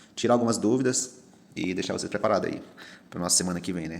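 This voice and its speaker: A man speaks with ordinary pitch variation. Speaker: teacher. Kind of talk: classroom review lesson. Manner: casual.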